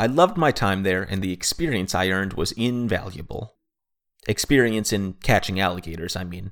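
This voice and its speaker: This man has a normal speaking voice, fairly low in pitch, with ordinary pitch variation and a fairly quick pace. The recording is very clean, with a silent background. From Florida, US (Orlando). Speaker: storyteller, wildlife handler. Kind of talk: scripted comedic narration.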